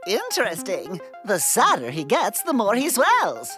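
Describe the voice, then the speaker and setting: Clear music plays in the background behind a cartoonish character voice. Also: moderate pace. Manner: explanatory, measured.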